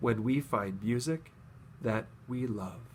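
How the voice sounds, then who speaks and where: In a put-on character voice, a man speaks at a fairly slow pace with medium pitch. His pitch varies in an ordinary way, and background noise is clearly audible. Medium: read story.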